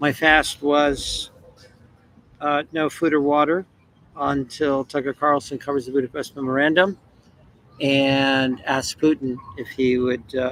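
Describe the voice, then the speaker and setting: Over noticeable background noise, a man speaks at a fairly slow pace with long, frequent pauses. His pitch is fairly high and his intonation fairly even. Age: 60s. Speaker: video blogger. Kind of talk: personal video address. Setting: at home. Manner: hesitant, many fillers.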